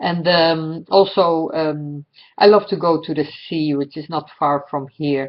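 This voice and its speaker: A woman's very deep, low voice in a Dutch accent at a very slow pace. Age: 60s. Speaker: astrologer. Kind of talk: personal monologue. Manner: halting, many fillers.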